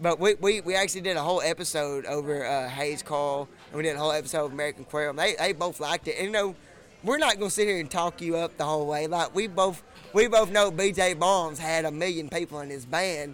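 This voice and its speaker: Very fast speech in a Texan accent with ordinary pitch variation. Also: man, fairly high pitch for a man. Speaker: podcast host. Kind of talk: casual chat. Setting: bar.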